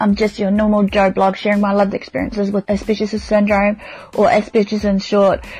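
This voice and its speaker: A woman speaks with a New Zealand accent. Noticeable background noise runs beneath her. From New Zealand, Manawatu region. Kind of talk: casual monologue.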